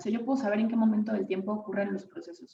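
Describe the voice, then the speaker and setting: The voice belongs to a woman and is fairly high in pitch. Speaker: neuroscience researcher giving a conference talk. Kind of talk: lecture.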